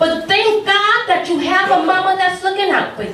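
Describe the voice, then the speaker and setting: A woman's speech comes at a moderate pace and shows ordinary pitch variation, with noticeable background noise throughout. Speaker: spoken word poet. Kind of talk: spoken word poetry performance. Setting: live open mic.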